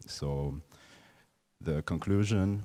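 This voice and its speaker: A man speaks in a dark, mellow tone. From Uzbekistan, Tashkent. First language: Uzbek and Russian. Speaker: artist. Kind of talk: panel discussion. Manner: halting, many fillers and repetitions.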